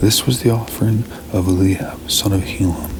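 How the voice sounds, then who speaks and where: Over noticeable background noise, a man with a fairly low voice talks at a moderate pace. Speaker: Bible reader, ASMR channel host. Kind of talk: ASMR Bible reading, non-dramatized narration.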